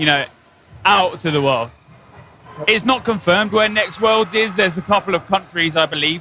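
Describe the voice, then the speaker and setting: With music playing behind him, a man with an Essex accent speaks at a high pitch with ordinary pitch variation. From Essex, England. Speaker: dodgeball player and guest commentator. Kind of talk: casual chat.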